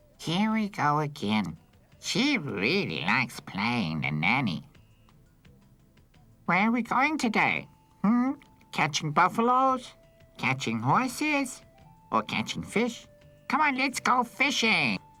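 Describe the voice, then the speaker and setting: A put-on character voice at a middle pitch moves at a fairly slow pace with long, frequent pauses while music plays in the background. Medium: fan dub. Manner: cheeky, playful.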